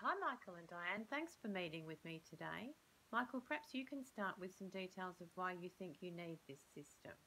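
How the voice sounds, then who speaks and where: Moderate-paced female speech amid light background noise. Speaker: speaker. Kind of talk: scripted role-play dialogue. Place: home room. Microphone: phone near.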